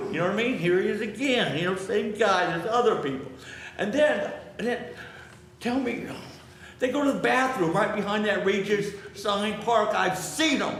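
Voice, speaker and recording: Against noticeable background noise and audible room echo, a man with a high pitch speaks at a moderate pace with ordinary pitch variation. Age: 70s. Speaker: public commenter. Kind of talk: public comment at council meeting. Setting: city council meeting chamber. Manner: halting, repetitive.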